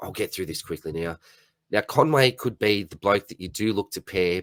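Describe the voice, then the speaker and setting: Raspy and put-on, this character voice moves at a moderate pace with ordinary pitch variation, its sound dry and close with no echo. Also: man, fairly low pitch for a man. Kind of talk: casual, fast-paced.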